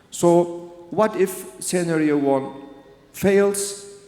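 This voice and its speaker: Audible room echo surrounds the man's voice as he talks. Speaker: interventional cardiologist. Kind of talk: conference presentation. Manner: halting.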